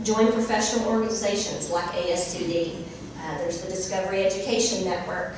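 In an American accent, a woman speaks fairly quickly at a medium pitch with fairly even intonation, amid strong room echo and noticeable background noise. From Texas, Eastland. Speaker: schoolteacher, keynote speaker. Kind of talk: keynote speech. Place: hall.

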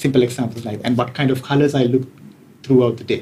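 Somewhat breathy and dark, mellow in tone, a man speaks with monotone, flat intonation. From Sri Lanka. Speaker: tech executive. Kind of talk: interview. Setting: hotel room.

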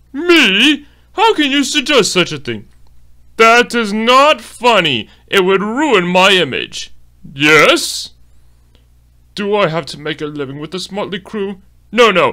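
Putting on a character voice, a man speaks high and raised, projecting at a fairly slow pace with long, frequent pauses, very wide pitch swings and big swings in loudness. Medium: dub. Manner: haughty, disdainful.

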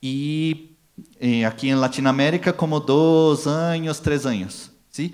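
With a Brazilian accent, a man speaks at a fairly high pitch and very slow pace, using ordinary pitch variation against a quiet background. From Brazil, São Paulo. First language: Portuguese (speaking Spanish). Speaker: packaging industry marketing manager; conference speaker. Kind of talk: conference talk. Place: hall. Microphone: handheld.

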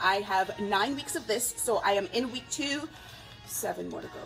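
Faint music plays behind a woman who talks at a fairly slow pace. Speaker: fitness vlogger. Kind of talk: casual vlog chat. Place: home room. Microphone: phone near.

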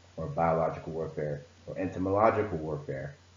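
Audible room echo is heard around a man's voice. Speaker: presenter. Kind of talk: presentation talk. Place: home room. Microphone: webcam.

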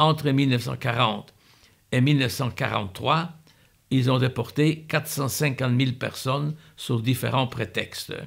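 There's vocal fry in a man's medium-pitched voice. His intonation is fairly even over a quiet background. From Poland, Warsaw. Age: 80s+. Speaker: Holocaust survivor. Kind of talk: testimony. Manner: halting. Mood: calm, earnest recollection. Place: home room.

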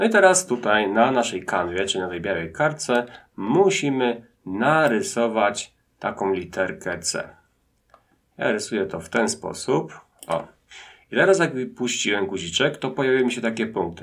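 A man's voice moves through very wide pitch swings against a quiet background. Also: moderate pace. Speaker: teacher. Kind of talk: tutorial. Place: home room.

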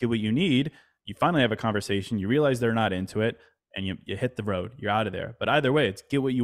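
Over a quiet background, a man talks at a very fast pace. His pitch is medium, with ordinary variation. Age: 30s. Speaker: mindfulness writer and podcaster; podcast guest. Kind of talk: casual interview chat. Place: home room. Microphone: studio mic.

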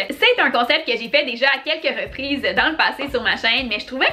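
Over background music, a woman projects a raised, high voice with lively intonation. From Quebec. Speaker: YouTuber, primary school teacher. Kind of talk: casual talk to camera. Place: home room.

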